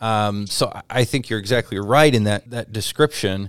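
In a very clean recording with a silent background and a dry, close sound with no echo, a man with an American accent talks in a plain, everyday voice, fairly low in pitch with ordinary pitch variation. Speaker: radio host. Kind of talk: radio interview.

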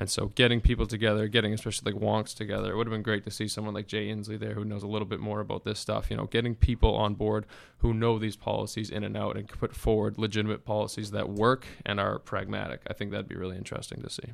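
A man with an American accent talks at a very fast pace with hardly any pauses, his fairly low voice carrying vocal fry and a monotone, flat intonation. The recording is very clean, with a silent background. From Massachusetts, US. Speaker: graduate policy student. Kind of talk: casual interview.

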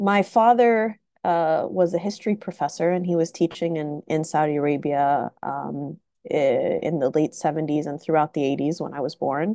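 A woman's very deep, low voice with a dark, mellow tone, at a fairly slow pace with hardly any pauses. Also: ordinary pitch variation, quiet background. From US South, Tennessee. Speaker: professor. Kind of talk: interview. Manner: halting, many fillers.

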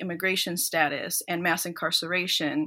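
Bright, sharp female voice in an Upper Midwest accent, medium pitch, moderate pace. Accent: Upper Midwest American English. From US Midwest, Minnesota (born in El Salvador). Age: 20s. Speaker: law student. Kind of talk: interview. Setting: remote call.

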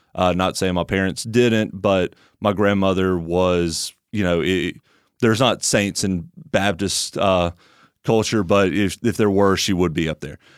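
A man with an Alabama accent and a very deep, low pitch, fairly slow and fairly even in intonation, in a very clean recording with a silent background. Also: dry, close sound with no echo. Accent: Southern US (Alabama). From US South, Tuscaloosa, Alabama. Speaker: church member. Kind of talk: casual interview.

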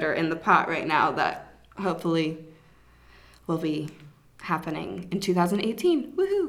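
A woman with an American accent, speaking with long, frequent pauses. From Atlanta, US South. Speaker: podcast co-host and yoga festival organizer. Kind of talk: casual chat between co-hosts.

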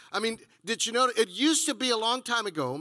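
A man with an American accent uses a raised, projected voice at a high pitch, with a bright, sharp tone, in a very clean recording with a silent background and a dry, close sound with no echo. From Texas. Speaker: pastor. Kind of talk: sermon. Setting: church.

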